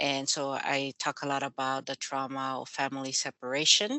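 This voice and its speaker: A woman talks at a fairly slow pace in a very deep, low pitch. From Mexico. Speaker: author. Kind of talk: interview.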